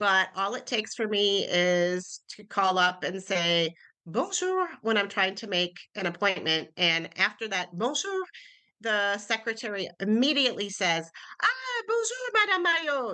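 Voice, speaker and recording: Against a quiet background, a woman with an American accent speaks fairly slowly in a bright, sharp tone with lively intonation. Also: medium pitch for a woman. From United States. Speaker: author. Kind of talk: interview conversation.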